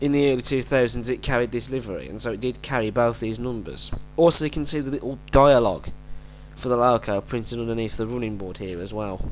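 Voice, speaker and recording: A man with a medium pitch speaks at a very fast pace with ordinary pitch variation. Noticeable background noise runs underneath. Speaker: model railway collector. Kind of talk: model unboxing and review talk.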